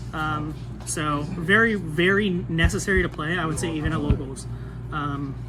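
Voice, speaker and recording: Music plays in the background and audible room echo colours the sound. A man speaks with a fairly high pitch and fairly even intonation. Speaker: competitive card game player. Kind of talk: deck profile interview. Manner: fast; hesitant fillers.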